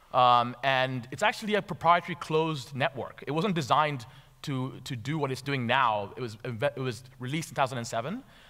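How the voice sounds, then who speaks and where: A medium-pitched man's voice with a bright, sharp tone, ordinary pitch variation and a moderate pace over a quiet background. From Tanzania, schooled in Nairobi. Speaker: venture capital investor. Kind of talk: conference talk. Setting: stage with audience. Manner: halting with fillers and repetitions. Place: stage. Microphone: headset.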